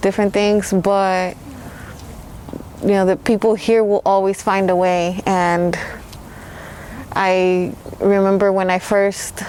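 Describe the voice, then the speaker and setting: A woman's medium-pitched voice, monotone and flat, at a very slow pace with long, frequent pauses and very even loudness, over noticeable background noise. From Mexico, raised in Los Angeles. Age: 30s. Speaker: hip-hop artist. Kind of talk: interview. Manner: casual, hesitant with fillers.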